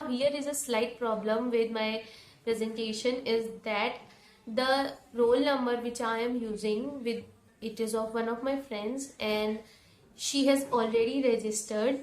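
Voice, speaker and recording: Her voice fairly high and her intonation monotone and flat, a woman speaks at a fairly slow pace with audible room echo. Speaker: education YouTuber. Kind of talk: tutorial.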